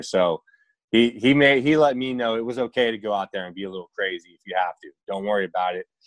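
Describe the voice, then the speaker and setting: At a fairly quick pace, a man speaks with ordinary pitch variation in an unremarkable speaking voice. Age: 30s. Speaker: retired baseball pitcher. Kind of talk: casual interview. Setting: video call.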